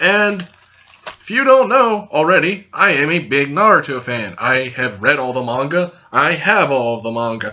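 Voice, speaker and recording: Loud and fairly high-pitched, a man speaks at a moderate pace with very wide pitch swings over noticeable background noise. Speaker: youtuber, anime reviewer. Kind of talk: casual video review. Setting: recording to camera. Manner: hyper and loud.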